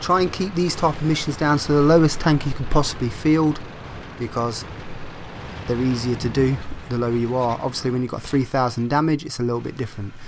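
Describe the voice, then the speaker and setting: Over noticeable background noise, a man talks at a very fast pace. His pitch is medium, with ordinary variation. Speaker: gaming video creator. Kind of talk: gameplay commentary tutorial.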